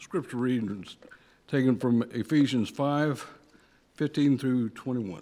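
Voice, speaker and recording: A man with a dark, mellow tone and medium pitch speaks at a very slow pace with ordinary pitch variation and long, frequent pauses, on a very clean recording with a silent background. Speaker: scripture reader. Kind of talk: reading aloud. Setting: church. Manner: halting.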